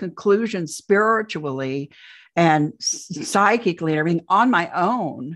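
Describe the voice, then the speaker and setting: A woman talks in a Midwestern American accent. Her pitch is medium and her pace fairly slow. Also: quiet background. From US Midwest, central Indiana. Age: 60s. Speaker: UFO abduction experiencer and author. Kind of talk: interview testimony.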